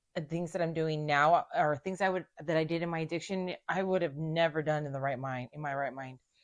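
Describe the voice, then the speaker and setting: In a quiet background, a woman talks at a moderate pace with a very deep, low pitch. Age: 30s. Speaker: recovering addict sharing her story. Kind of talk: casual conversation. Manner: halting.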